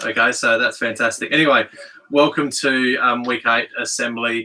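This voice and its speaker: Speaking at a fairly quick pace, a man with an Australian accent has a medium pitch, a bright, sharp tone and monotone, flat intonation. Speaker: school principal. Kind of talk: school assembly address. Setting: podcast room studio, livestreamed.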